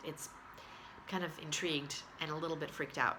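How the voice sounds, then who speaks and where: Over audible room echo, a woman speaks at a very deep, low pitch in a bright, sharp tone. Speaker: video blogger. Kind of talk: casual vlog update. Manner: hesitant, many fillers.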